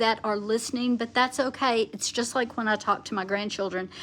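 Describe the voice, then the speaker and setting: Here a woman speaks loudly, with a passionate tone. Her pitch variation is ordinary. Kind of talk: livestream teaching. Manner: loud, passionate.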